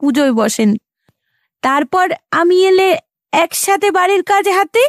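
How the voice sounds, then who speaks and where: A woman puts on a character voice at an extremely high pitch, shaky and tearful, with very wide pitch swings. The sound is dry and close, with no echo. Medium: audio drama. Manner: tearful, trembling.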